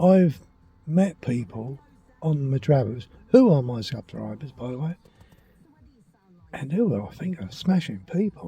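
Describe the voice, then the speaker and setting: A man with a southern English accent has a dark, mellow, somewhat breathy tone and very wide pitch swings. His loudness swings widely, and he leaves long, frequent pauses. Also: fairly high pitch for a man, fairly slow pace. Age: 60s. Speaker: vlogger. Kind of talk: casual vlog monologue.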